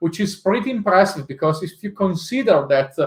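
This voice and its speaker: A man speaks with an Italian accent. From Italy. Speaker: tech executive and conference speaker. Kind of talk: tech talk presentation. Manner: hesitant, many filler uhs.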